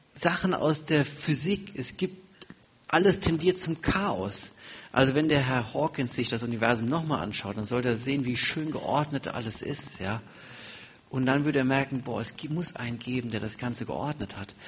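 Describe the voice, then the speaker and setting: A man's moderately paced speech with lively intonation over noticeable background noise. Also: medium pitch for a man. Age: 40s. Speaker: guest preacher. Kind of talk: sermon.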